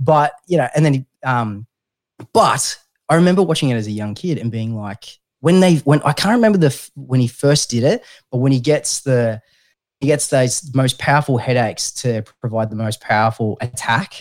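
A man with an Australian accent speaks at medium pitch and a moderate pace, his intonation lively, on a very clean recording with a silent background. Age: 30s. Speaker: mental health podcast host. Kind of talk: casual chat.

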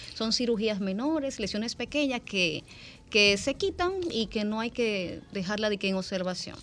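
Speaking at a fairly slow pace, a woman has a fairly high pitch and ordinary pitch variation. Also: very clean recording, silent background. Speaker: dermatologist. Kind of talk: radio interview.

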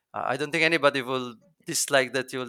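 A man at medium pitch and a fairly quick pace, with fairly even intonation, in a very clean recording with a silent background and a dry, close sound with no echo. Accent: Italian. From Italy. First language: Italian. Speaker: SEO consultant. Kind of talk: interview.

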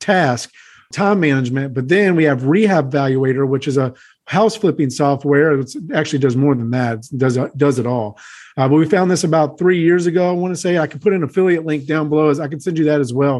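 A normal speaking voice from a man, fairly high in pitch with ordinary pitch variation, at a fairly quick pace against a quiet background. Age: 30s. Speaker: house flipper and real estate investor. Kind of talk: interview.

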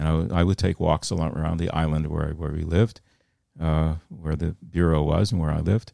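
In a Midwestern accent, a man talks at a fairly quick pace with fairly even intonation. His voice is very deep and low, with a dark, mellow tone. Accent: American Midwest. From US Midwest, Fort Wayne, Indiana. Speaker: retired news correspondent. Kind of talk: interview conversation. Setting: podcast.

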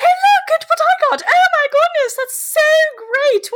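A put-on character voice in a British accent comes through at an extremely high pitch and a fairly slow pace. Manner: gushing, delighted, affected.

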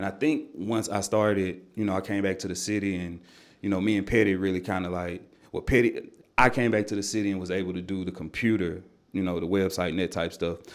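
This voice moves at a very fast pace with fairly even intonation. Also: man. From Nashville, Tennessee (east side). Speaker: music artist. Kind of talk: casual interview chat.

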